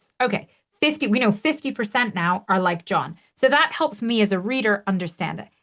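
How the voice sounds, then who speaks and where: A woman of medium pitch with lively intonation at a fairly quick pace, with music in the background. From Canada. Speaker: webinar trainer. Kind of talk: webinar tutorial. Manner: animated.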